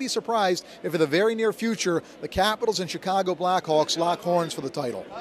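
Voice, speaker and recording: With an American accent, a man speaks fairly quickly in a high pitch, with ordinary pitch variation. Noticeable background noise runs under his voice. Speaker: radio play-by-play announcer. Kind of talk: radio interview answer about hockey.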